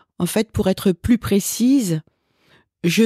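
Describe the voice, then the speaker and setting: A woman speaks at a very slow pace in a dark, mellow tone with ordinary pitch variation. The sound is dry and close with no echo, on a very clean recording with a silent background. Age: 60s. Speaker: executive coach and psychotherapist. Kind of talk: interview. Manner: hesitant, many filler sounds.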